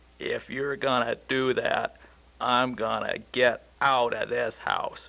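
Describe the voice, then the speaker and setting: A man puts on a cartoonish character voice at a fairly slow pace. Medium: puppet show. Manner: whiny, sassy.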